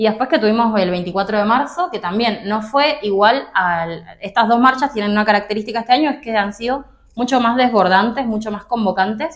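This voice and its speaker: With an unremarkable speaking voice, a woman talks at a fairly quick pace in a fairly high pitch with ordinary pitch variation. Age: 20s. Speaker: political activist. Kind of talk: interview.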